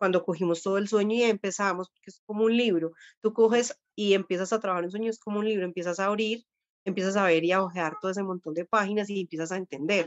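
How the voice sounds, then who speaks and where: A woman at a medium pitch talks at a very fast pace, her intonation fairly even. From Colombia. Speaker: dream therapist. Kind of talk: interview, explaining spiritual practice.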